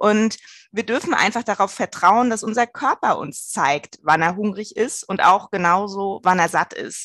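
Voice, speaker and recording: Dry and close with no echo, a woman speaks at a fairly slow pace. She has an unremarkable speaking voice of medium pitch with ordinary pitch variation. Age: 30s. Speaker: nutrition coach. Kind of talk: casual interview chat.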